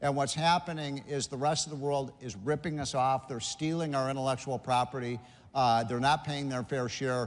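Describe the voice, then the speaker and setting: Against a quiet background, a man in an ordinary speaking voice talks at a moderate pace and medium pitch with fairly even intonation. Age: 60s. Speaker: policy commentator. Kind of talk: conference panel discussion.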